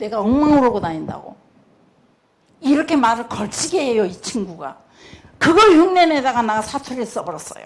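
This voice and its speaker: Speaking with a strong Jeolla accent, a woman sounds animated, her pitch swinging very widely at a moderate pace. Room echo is audible. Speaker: pastor's wife, church speaker. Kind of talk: sermon testimony.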